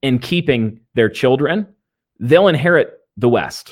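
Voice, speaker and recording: A man's plain, everyday voice at a fairly slow pace with lively intonation, in a very clean recording with a silent background. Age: 20s. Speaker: pastor. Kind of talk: interview on theology.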